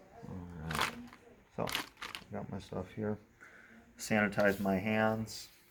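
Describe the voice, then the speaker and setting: Over noticeable background noise, a man with a fairly low pitch speaks very slowly in a flat monotone, with long, frequent pauses. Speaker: nursing student. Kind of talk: skills demonstration with role-play. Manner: loud.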